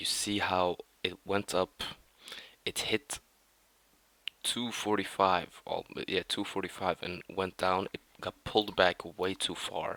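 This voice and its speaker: At a very slow pace, with long, frequent pauses, the speaker uses monotone, flat intonation and a non-native accent. The tone is bright and sharp, with a dry, close sound and no echo. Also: man, very deep, low pitch for a man. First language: not English. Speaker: day trader, video creator. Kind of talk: trading review. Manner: halting.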